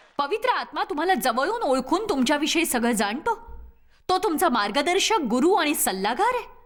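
With a high pitch that swings very widely, a woman speaks at very even loudness. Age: 60s. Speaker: preacher. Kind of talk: sermon.

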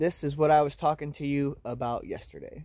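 The delivery is at a moderate pace, with a quiet background and a dry sound with no echo. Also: man. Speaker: homesteading vlogger. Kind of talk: casual vlog chat. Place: forest. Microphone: phone near.

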